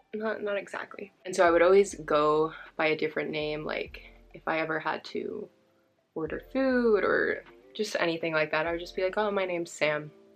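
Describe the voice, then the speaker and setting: In a Californian accent, a woman speaks at a moderate pace and medium pitch, her loudness swinging widely. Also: ordinary pitch variation. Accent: Californian American English. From California, Bay Area. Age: 20s. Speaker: beauty vlogger. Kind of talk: casual chat.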